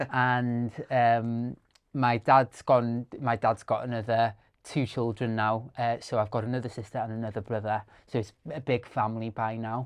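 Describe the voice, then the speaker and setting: Speaking at a moderate pace, a man with a Welsh accent keeps a monotone, flat intonation. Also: medium pitch for a man. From rural Wales. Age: 30s. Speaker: content creator and storyteller. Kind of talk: podcast interview. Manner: halting, many fillers.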